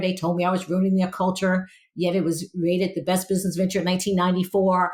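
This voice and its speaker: A woman speaks with an American accent at a very fast pace. Her voice is somewhat breathy. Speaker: learning professional. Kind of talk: podcast panel discussion.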